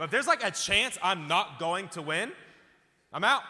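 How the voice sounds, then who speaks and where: Loud, high-pitched man's voice, bright and sharp in tone, animated, with lively intonation. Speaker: pastor. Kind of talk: sermon. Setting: church with live audience.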